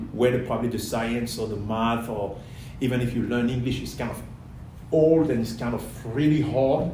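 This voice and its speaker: Audible room echo surrounds a man speaking with a Cameroonian accent. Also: medium pitch for a man, fairly even intonation, moderate pace. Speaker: airline pilot. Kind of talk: interview.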